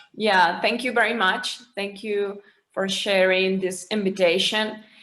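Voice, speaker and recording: Speaking in a Spanish accent at a medium pitch, a woman keeps a fairly slow pace and monotone, flat intonation, with audible room echo. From Mexico. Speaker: panelist. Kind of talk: panel discussion. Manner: hesitant.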